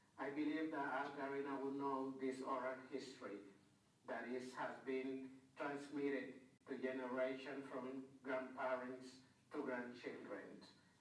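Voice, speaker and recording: Monotone, flat intonation at a fairly slow pace, with audible room echo. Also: man, medium pitch for a man. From Honduras, Garifuna community. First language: Garifuna. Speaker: researcher and conference speaker. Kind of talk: conference presentation. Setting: conference room.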